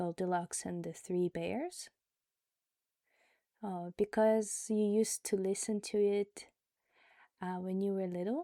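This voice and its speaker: Soft-spoken and at a fairly slow pace with long, frequent pauses, a woman talks in a calm, gentle tone that is dark and mellow, with fairly even intonation, in a dry, close sound with no echo on a very clean recording with a silent background. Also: medium pitch for a woman. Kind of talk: casual talk to listener. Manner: soft-spoken, calm, gentle pace.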